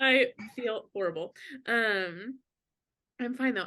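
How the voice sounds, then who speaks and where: The tone is bright and sharp as a woman speaks. The background is quiet. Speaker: knitting podcast co-host. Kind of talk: casual chat. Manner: out of breath.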